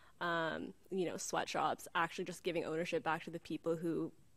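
A woman talks at a moderate pace. Her voice sits fairly low. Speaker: audience questioner; questioner. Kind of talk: audience question. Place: classroom. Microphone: podium.

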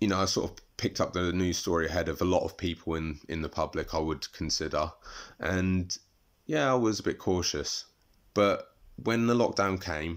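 Against a quiet background, a man talks at a moderate pace in a very deep, low pitch with ordinary pitch variation. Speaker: interviewee. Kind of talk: interview answer. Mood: reflective, thoughtful. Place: home room. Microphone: phone near.

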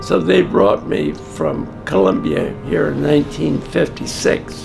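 Clear music plays in the background as a man speaks at a fairly slow pace. His voice is very deep and low, with very wide pitch swings. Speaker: retired professor and teacher educator, military veteran. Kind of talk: personal reminiscence / interview answer. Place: home room.

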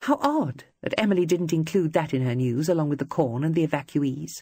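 In a put-on character voice, the speaker delivers breathy, angry lines at a middle pitch and a fairly quick pace. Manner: angry but controlled.

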